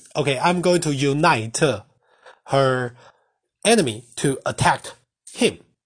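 A man with a Mandarin accent and lively intonation, at a fairly slow pace against a quiet background. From Taiwan. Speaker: language teacher. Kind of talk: tutorial. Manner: halting.

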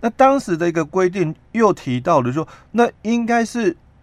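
Someone speaks at a moderate pace with a Taiwanese accent. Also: man. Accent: Taiwanese Mandarin. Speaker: labor relations expert. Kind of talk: radio interview explaining labor law. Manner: halting, many filler particles.

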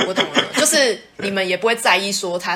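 Noticeable background noise sits under the voice. The speaker talks at a fairly quick pace. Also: woman. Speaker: podcast co-host. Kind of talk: casual chat.

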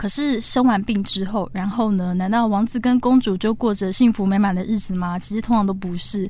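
A woman with a dark, mellow, somewhat breathy tone talks at a fairly quick pace with fairly even intonation and hardly any pauses. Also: medium pitch for a woman. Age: 30s. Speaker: cancer survivor and author. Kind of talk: interview.

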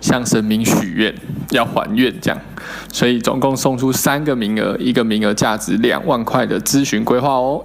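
There is noticeable background noise in this recording. A man speaks at a medium pitch. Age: 30s. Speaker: financial planner. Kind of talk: interview.

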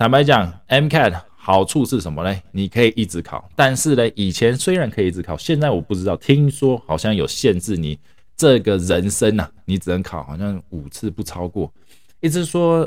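Speaking at a moderate pace, a man has a fairly low pitch. His pitch swings very widely. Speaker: podcast host, doctor in the US. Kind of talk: casual monologue.

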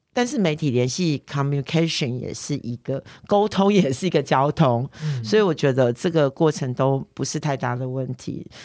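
Over a very clean recording with a silent background, a woman with a very deep, low pitch speaks at a moderate pace with lively intonation. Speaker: politician. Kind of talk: interview.

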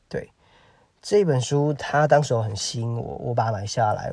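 Using ordinary pitch variation, a man speaks at a moderate pace in a medium pitch. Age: 30s. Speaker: podcaster. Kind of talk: solo monologue. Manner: halting, many fillers.

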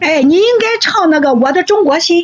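At a moderate pace, a woman talks with very wide pitch swings. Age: old. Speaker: livestreamer. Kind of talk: casual chat.

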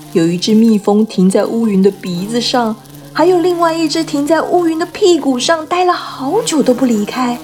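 With music playing behind her, a woman speaks in an animated, playful tone, her high pitch swinging very widely. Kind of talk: fairy-tale audiobook reading with character voices. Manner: animated, playful storyteller voicing Pooh and Piglet; gentle, child-directed, slow-paced narration.

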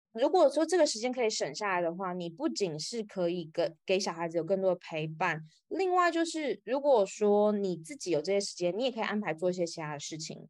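Talking at a fairly quick pace with hardly any pauses, a woman's medium-pitched voice swings very widely in pitch over a quiet background. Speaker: author. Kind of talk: interview.

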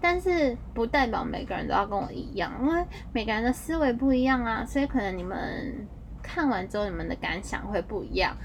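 Fairly quick speech from a woman, with noticeable noise in the background. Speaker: podcast host. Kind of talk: casual monologue.

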